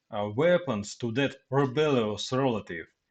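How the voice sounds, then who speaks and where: A man with a Russian accent, medium-pitched, at a fairly slow pace with lively intonation. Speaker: Russian military man, commentator. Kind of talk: reading aloud prepared text. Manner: halting.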